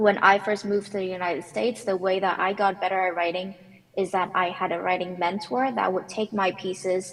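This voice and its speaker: Noticeable background noise sits under this recording. A woman with a medium pitch talks at a moderate pace. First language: not English. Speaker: conference speaker, technical author. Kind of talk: panel Q&A answer. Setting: conference panel.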